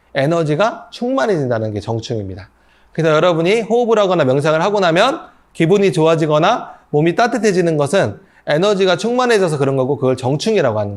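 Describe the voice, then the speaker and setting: A man at a high pitch, very fast pace and very wide pitch swings, with audible room echo. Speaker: breathing and meditation instructor. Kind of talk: lecture.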